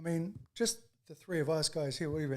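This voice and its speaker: A man speaks with an Australian accent. His pitch rises and falls in an ordinary way. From Australia, Sydney. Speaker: retired heavyweight kickboxer. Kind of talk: podcast interview.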